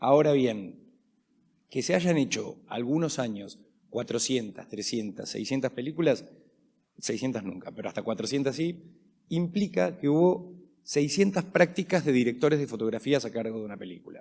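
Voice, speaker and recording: In a very clean recording with a silent background, a man with an Argentine accent speaks at a moderate pace and medium pitch in a dark, mellow tone, with lively intonation and big swings in loudness. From Argentina. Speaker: panel moderator. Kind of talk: panel discussion.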